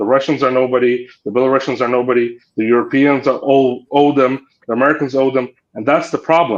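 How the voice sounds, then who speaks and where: Speaking with a Ukrainian accent, a man talks at a fairly quick pace in a monotone, flat delivery. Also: medium pitch for a man. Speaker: political commentator, former diplomat. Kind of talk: panel discussion.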